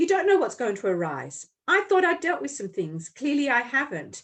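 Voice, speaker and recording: Speaking at a fairly quick pace, a woman with a high voice makes very wide pitch swings. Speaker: podcast host and Reiki healer. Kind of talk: casual chat.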